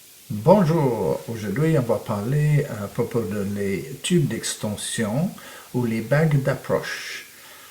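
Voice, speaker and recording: A man with a non-native accent speaks at a very slow pace in a medium pitch. His intonation is lively, and there is noticeable background noise. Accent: foreign accent in French. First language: English (speaking French). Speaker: photography teacher. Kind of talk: tutorial. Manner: halting, many hesitations.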